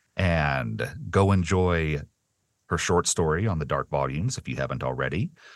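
A man speaks at a fairly slow pace in a very deep, low pitch with vocal fry and ordinary pitch variation. The background is quiet. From US South. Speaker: podcast host and interviewer. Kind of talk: casual interview.

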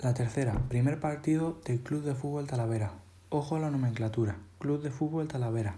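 A man talks at a fairly quick pace, medium in pitch with ordinary variation. His tone is dark and mellow and somewhat breathy. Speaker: journalism student podcaster on football. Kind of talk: scripted narration.

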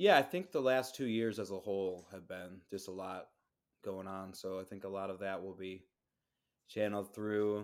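Using a plain, everyday voice, a man talks at a moderate pace and fairly low pitch, his intonation fairly even but his loudness swinging widely. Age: 30s. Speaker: DJ. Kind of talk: casual chat.

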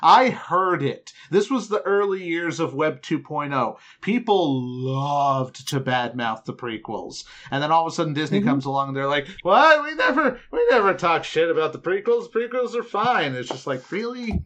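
A man speaks with a high pitch. His voice swings very widely up and down. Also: moderate pace. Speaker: podcast host. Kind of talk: casual chat. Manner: joking.

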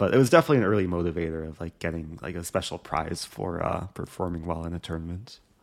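A man with a Midwestern American accent speaks at a very fast pace and a very deep, low pitch. His intonation is fairly even in a very clean recording with a silent background. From US Midwest, Skokie, Illinois. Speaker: chess streamer. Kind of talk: casual interview. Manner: hesitant, many fillers.

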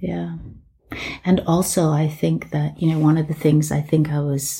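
A woman with an American accent speaks in a very deep, low pitch with a dark, mellow tone and a somewhat breathy quality. Her intonation is fairly even and her pace moderate. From England. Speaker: artist and healing practitioner. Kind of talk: casual chat.

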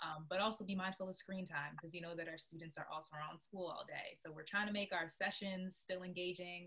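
A woman talks at a very fast pace with hardly any pauses. Her intonation is monotone and flat. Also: fairly low pitch for a woman. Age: 20s. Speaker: nonprofit program director. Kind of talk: casual interview.

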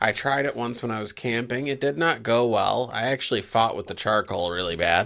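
In a very clean recording with a silent background, a man talks fairly quickly at a medium pitch in a bright, sharp, animated tone. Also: ordinary pitch variation. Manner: joking, animated.

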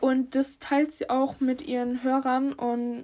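A woman's high voice with a dark, mellow tone and flat, monotone intonation, on a very clean recording with a silent background. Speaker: podcast co-host. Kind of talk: casual chat.

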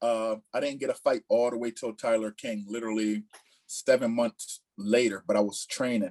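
A man speaks at a moderate pace in a normal speaking voice, at a medium pitch with fairly even intonation. The sound is dry and close, with no echo. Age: 30s. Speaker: professional MMA heavyweight fighter. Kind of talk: interview.

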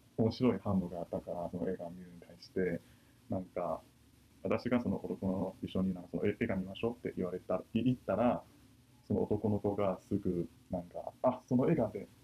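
A man with a Chinese accent, fairly low pitch, a dark, mellow tone, a fairly quick pace and big swings in loudness. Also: ordinary pitch variation. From China. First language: Chinese (speaking Japanese). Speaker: university student. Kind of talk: casual discussion.

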